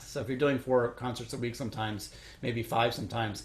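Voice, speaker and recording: Talking at a very fast pace, a man with medium pitch speaks with an American accent. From Chicago, US Midwest. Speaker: orchestral trumpet player. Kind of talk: interview Q&A. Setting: recorded at home, online Q&A. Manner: halting, many fillers.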